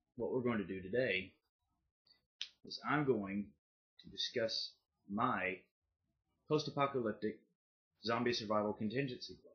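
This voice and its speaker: At a moderate pace, a man with an American accent speaks at medium pitch, with big swings in loudness and long, frequent pauses. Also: ordinary pitch variation. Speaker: YouTuber. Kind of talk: casual vlog monologue. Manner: casual, with filler pauses.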